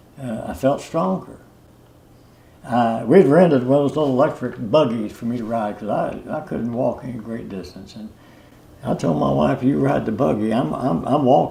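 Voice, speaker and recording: A man at a medium pitch with very wide pitch swings and big swings in loudness, over noticeable background noise. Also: moderate pace. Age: 80s+. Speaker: customer giving testimonial. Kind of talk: testimonial interview. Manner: halting, many fillers and repetitions.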